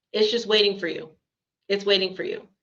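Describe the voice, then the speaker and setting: With a fairly high pitch, a woman talks with ordinary pitch variation. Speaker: spiritual channeler. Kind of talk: channeled spiritual talk. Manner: halting.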